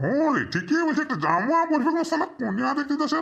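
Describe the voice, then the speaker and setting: A cartoonish character voice with a high pitch. The pace is moderate. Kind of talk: comic cartoon dialogue. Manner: sarcastic, swearing casually.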